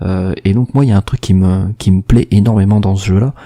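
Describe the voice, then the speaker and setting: The sound is dry and close with no echo as a man speaks at a moderate pace with a fairly low pitch and fairly even intonation. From Marseille, southern France. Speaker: gaming podcast co-host. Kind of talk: casual chat. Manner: hesitant, many fillers.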